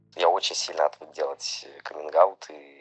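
Moderate-paced speech from a man, music playing behind him. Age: 20s. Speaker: listener sharing a story, restaurant waiter. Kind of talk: recorded personal story.

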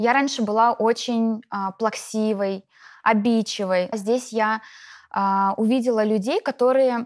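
Captured against a silent background, this very clean recording has a dry, close sound with no echo. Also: woman. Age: 30s. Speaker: network marketing distributor. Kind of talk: interview.

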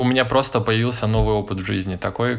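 Noticeable background noise sits under a man's fairly low voice. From Moscow, Russia. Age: 20s. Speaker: emigrant. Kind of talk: casual chat.

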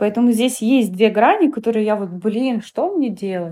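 A woman's dark, mellow tone sits at a fairly high pitch, moving at a fairly slow pace with lively intonation. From Siberia, Omsk, Russia. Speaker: dance coach and studio founder. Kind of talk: interview.

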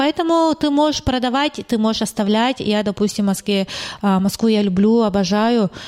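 In a normal speaking voice, a woman talks at a moderate pace with fairly high pitch, lively intonation and very even loudness. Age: 30s. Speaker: real estate agency owner. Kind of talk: casual interview.

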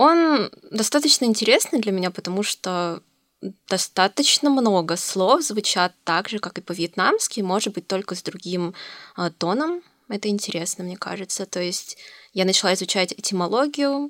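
In a very clean recording with a silent background and a dry, close sound with no echo, a woman at a medium pitch uses an ordinary speaking voice with lively intonation at a moderate pace. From Russia, Novosibirsk. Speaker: university student. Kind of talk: casual chat.

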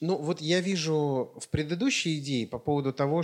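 A man speaks at a moderate pace with ordinary pitch variation. He has an unremarkable speaking voice, fairly high in pitch. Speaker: podcast co-host. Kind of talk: casual chat.

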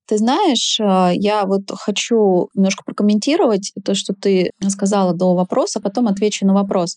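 A woman with an ordinary speaking voice and a medium pitch talks at a fairly slow pace with hardly any pauses, very even loudness and fairly even intonation, in a dry, close sound with no echo. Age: 40s. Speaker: sexologist and tantric massage practitioner. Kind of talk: interview.

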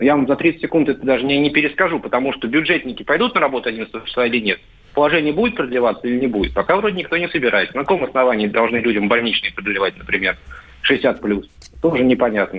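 Lively in intonation, a man at a medium pitch speaks at a very fast pace. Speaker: journalist. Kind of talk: casual chat.

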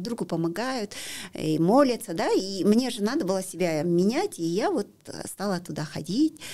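Her dark, mellow voice moves at a fairly slow pace with very wide pitch swings as the woman speaks. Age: 50s. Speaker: para-athlete. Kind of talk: interview. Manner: halting.

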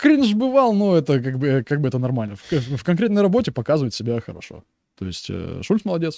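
The voice swings very widely in pitch while keeping a dark, mellow tone. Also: man, fairly high pitch for a man. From Russia. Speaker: soldier. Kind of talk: casual chat.

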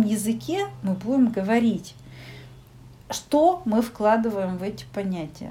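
Long, frequent pauses mark a woman's speech at a very slow pace. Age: 40s. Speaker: psychologist. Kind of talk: casual chat.

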